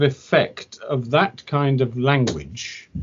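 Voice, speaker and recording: A man with a British accent speaks at medium pitch. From Britain. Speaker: English language teacher. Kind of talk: interview conversation. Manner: halting, with repetitions.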